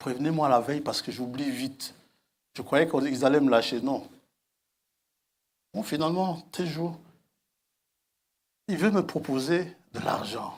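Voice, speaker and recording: In a room with audible echo, a man with a fairly high pitch and ordinary pitch variation speaks at a fairly slow pace, taking long, frequent pauses. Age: 60s. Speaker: preacher. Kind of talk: sermon.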